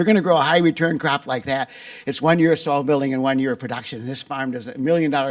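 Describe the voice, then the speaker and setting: A man with an Upper Midwest US accent speaks at a very fast pace. His pitch is fairly high, with ordinary pitch variation. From Wisconsin. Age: 70s. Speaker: farmer and agricultural business founder. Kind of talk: conference presentation. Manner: conversational.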